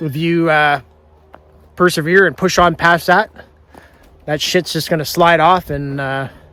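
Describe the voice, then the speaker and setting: Noticeable background noise behind a man's fairly high-pitched voice. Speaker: sawmill homesteader vlogger. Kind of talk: casual vlog talk to camera. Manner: casual, rambling with fillers.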